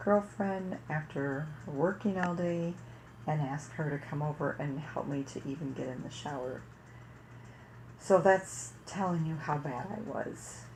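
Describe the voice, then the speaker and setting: Her pitch is very deep and low for a woman, with ordinary variation. She speaks at a fairly slow pace. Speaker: parenting vlogger. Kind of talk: personal story monologue. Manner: casual.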